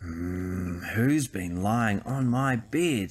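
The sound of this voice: Using a put-on character voice, a man growls at a fairly low pitch.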